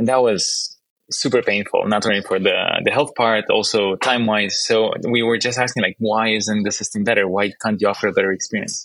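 A man with a Romanian accent at a fairly quick pace, his loudness very even. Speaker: startup founder and CEO. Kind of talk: interview conversation.

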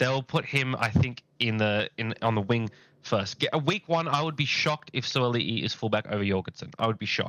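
A man talks fairly quickly at a medium pitch, with ordinary pitch variation. The sound is dry and close with no echo, over a quiet background. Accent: Australian. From Australia. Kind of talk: casual chat.

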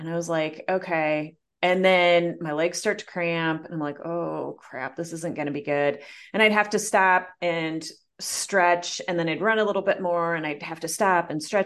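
A woman with an American accent and a plain, everyday voice, fairly low in pitch, at a moderate pace over a quiet background. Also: fairly even intonation. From US Midwest. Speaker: coach and entrepreneur, marathon runner. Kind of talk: interview, personal story.

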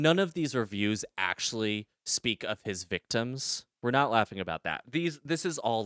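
The speech is plain reading aloud with lively intonation. The background is quiet.

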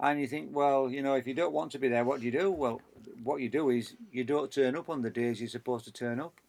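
A man talks very fast with a Yorkshire accent. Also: medium pitch for a man, ordinary pitch variation. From northern England, Leeds. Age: 50s. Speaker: engineer and pilot. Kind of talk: interview.

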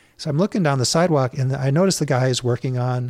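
The man's voice sits at a medium pitch and sounds somewhat breathy. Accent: American. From Minnesota, US (Saint Louis Park). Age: 50s. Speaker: author and youth canoe guide. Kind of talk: casual interview conversation. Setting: studio.

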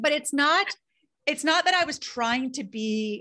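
A woman's raised, projected voice, bright and sharp in tone, with lively intonation at a fairly slow pace. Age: 40s. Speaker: trial attorney and keynote speaker. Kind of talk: casual interview conversation.

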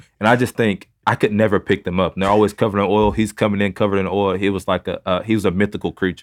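A man speaks at a very fast pace with a Texan accent, his fairly low voice delivered in a flat monotone. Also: hardly any pauses. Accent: Texan Southern US. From Northeast Texas, small town Mount Vernon. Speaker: pastor and foster father. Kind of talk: testimony. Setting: studio.

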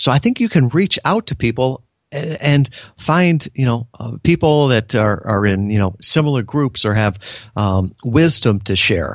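Speaking with a Midwestern American accent, a man talks at a fairly slow pace. His intonation is lively. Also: medium pitch for a man. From US Midwest, Chicago suburbs. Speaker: business consultant and navy veteran. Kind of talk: interview.

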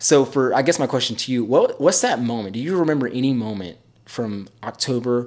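In an ordinary speaking voice, a man talks at a medium pitch and a fairly quick pace on a very clean recording with a silent background. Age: 30s. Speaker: podcast host. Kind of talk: casual chat.

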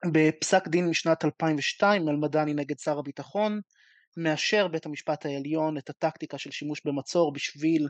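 Using a normal speaking voice, a man talks at a moderate pace with a fairly high pitch and fairly even intonation. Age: 20s. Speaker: law student. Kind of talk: audience question. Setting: video call.

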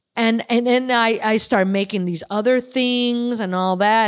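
On a very clean recording with a silent background, a woman talks at a fairly slow pace in a normal speaking voice with ordinary pitch variation. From Chicago. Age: 50s. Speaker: artist and military veteran. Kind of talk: casual interview. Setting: in person at a club.

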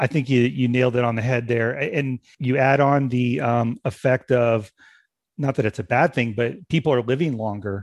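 A man speaks in an unremarkable speaking voice at medium pitch and moderate pace, with very even loudness. The sound is dry and close with no echo, over a quiet background. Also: ordinary pitch variation. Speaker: podcast host. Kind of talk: casual interview conversation.

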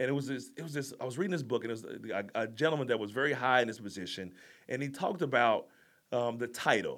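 On a very clean recording with a silent background, a man speaks in an animated tone at a fairly quick pace with ordinary pitch variation. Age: 40s. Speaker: life coach and Marine Corps veteran. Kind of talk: casual interview chat. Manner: animated, high energy.

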